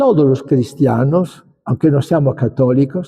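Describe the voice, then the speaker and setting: With a dark, mellow tone, a man speaks at a very slow pace in a somewhat breathy voice. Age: 80s+. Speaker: bishop. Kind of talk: lecture. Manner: halting.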